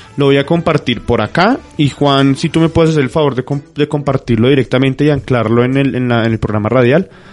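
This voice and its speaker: Over music in the background, a man with a fairly high pitch talks at a fairly quick pace, keeping his loudness very even and his pitch variation ordinary. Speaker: radio host. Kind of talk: casual radio talk. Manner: halting, many fillers.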